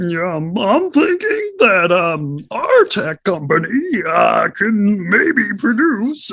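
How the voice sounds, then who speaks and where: A put-on character voice in a fairly high pitch moves at a very slow pace. It has hardly any pauses. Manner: pompous, hesitant, filler-heavy.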